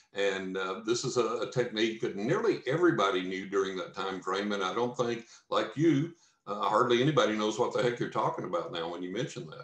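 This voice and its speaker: In a West Texas accent, a man speaks at a medium pitch with lively intonation. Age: 60s. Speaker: psychic medium and author. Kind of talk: podcast interview.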